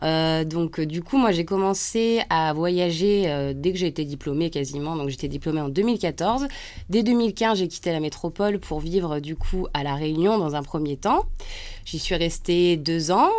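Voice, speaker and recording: An unremarkable speaking voice: a woman's, fairly low in pitch, with lively intonation at a moderate pace. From central France (Auvergne). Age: 30s. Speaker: nurse and artist. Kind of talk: radio interview. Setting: radio studio.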